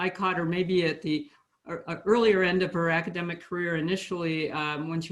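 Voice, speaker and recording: A woman speaks with a very deep, low pitch. Her pace is fairly quick. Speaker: professor and session chair. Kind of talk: conference introduction. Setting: video call. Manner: halting, many fillers.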